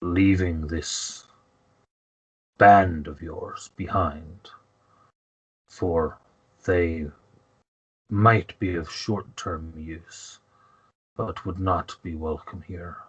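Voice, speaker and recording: A man puts on a character voice with a very deep, low pitch. He speaks at a very slow pace and leaves long, frequent pauses. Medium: actual play. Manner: formal, haughty.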